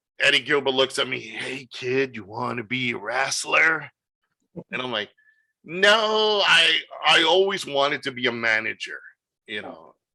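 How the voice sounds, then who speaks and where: A man at a fairly slow pace, lively in intonation, with big swings in loudness. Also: medium pitch for a man. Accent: New York. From New York City. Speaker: wrestling promoter. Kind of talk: interview. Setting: video call. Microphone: good audio.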